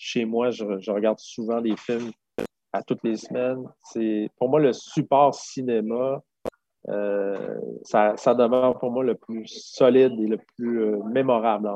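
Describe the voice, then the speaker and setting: A man's medium-pitched voice, very slow and monotone, with flat intonation. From Quebec City region, Quebec. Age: 50s. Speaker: film director. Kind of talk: interview.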